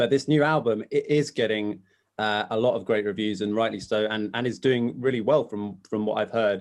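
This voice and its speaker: At a moderate pace, a man with a fairly low pitch speaks in an ordinary speaking voice with fairly even intonation. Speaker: podcast host. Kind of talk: casual interview questions.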